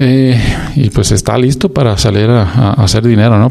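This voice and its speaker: A man speaks at a moderate pace with a dark, mellow tone. His pitch sits in the middle range and varies in an ordinary way. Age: 40s. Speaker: podcast host. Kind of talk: solo casual monologue.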